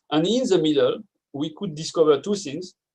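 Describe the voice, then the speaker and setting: Speaking with a French accent, a man uses lively intonation at a moderate pace. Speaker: neuroscience researcher. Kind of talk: conference talk.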